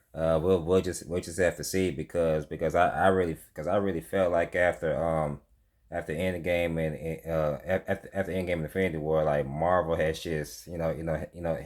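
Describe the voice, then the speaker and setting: Speaking at a moderate pace, a man uses a very deep, low pitch and fairly even intonation. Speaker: movie reviewer. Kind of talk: casual video review monologue. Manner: halting, stumbling with many fillers.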